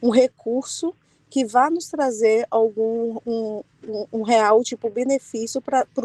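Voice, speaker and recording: Soft-spoken and fairly slow, a woman with a fairly high, dark, mellow voice uses fairly even intonation in dry, close sound with no echo. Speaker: physiotherapy study group participant. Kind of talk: group discussion on video call.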